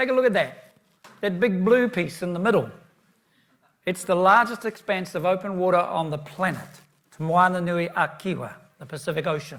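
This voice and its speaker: Moderate-paced speech in a New Zealand accent, with ordinary pitch variation, long, frequent pauses, and audible room echo. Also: man, high pitch for a man. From New Zealand, east coast of North Island. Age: 70s. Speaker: keynote speaker. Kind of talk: conference presentation.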